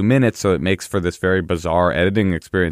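At a fairly quick pace, a man with an American accent speaks in an unremarkable speaking voice with ordinary pitch variation. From East Bay, California. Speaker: comedian and writer. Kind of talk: casual interview chat.

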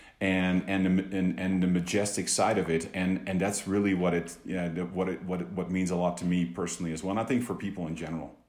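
Talking very fast with hardly any pauses, a man with a Dutch accent keeps a very deep, low pitch and fairly even intonation. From Netherlands, Amsterdam. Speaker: business executive. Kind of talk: interview. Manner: halting, many repeated words.

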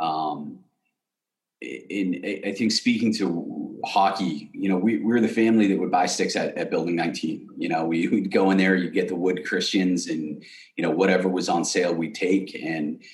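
A man with an American accent talks at a moderate pace with a very deep, low pitch and ordinary pitch variation. Room echo is audible. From Massachusetts, south of Boston. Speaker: hockey equipment entrepreneur and charity founder. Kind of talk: casual interview.

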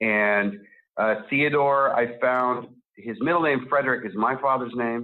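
A man speaks in a normal speaking voice. His medium pitch and fairly even intonation come at a fairly slow pace. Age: 40s. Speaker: writer and film director. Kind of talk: interview.

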